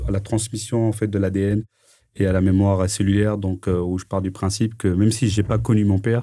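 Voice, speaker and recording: In a very clean recording with a silent background, a man talks at a moderate pace in a fairly low pitch. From France, Paris (18th arrondissement). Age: 40s. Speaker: entrepreneur. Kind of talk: interview. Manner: halting, many fillers.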